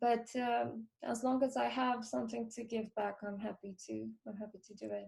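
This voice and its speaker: A woman with a Romanian accent speaks in a somewhat breathy voice. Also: fairly high pitch for a woman, moderate pace. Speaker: film composer. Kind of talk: interview. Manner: halting.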